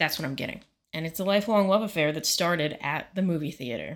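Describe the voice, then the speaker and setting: In a very clean recording with a silent background, a woman with an unremarkable speaking voice talks at a fairly quick pace, her fairly low pitch showing ordinary variation. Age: 20s. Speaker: podcast co-host. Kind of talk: casual chat.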